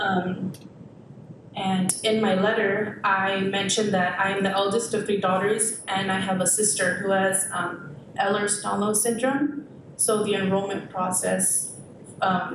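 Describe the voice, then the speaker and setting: A woman talks at a moderate pace in a space with audible room echo and noticeable background noise. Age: 20s. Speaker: public commenter, school instructional aide. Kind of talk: public comment at a school board meeting. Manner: hesitant, many fillers.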